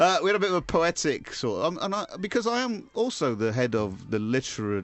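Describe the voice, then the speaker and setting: A man with an English accent speaks at a fairly quick pace, his high voice swinging very widely in pitch. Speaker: radio show host. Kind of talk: comedic radio banter; reading aloud. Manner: loud.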